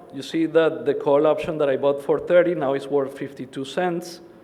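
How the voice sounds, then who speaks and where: A man with a fairly high pitch speaks at a fairly quick pace, his intonation fairly even. Noticeable background noise is present. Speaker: conference presenter on commodity risk management. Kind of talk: conference presentation.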